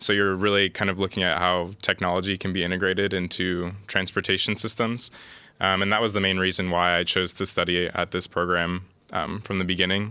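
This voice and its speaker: In a Midwestern American accent, a man with a very deep, low voice speaks fairly quickly in a bright, sharp tone, his intonation monotone and flat and his loudness very even. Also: very clean recording, silent background. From US Midwest, Columbus, Ohio. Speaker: master's student. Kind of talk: casual interview chat.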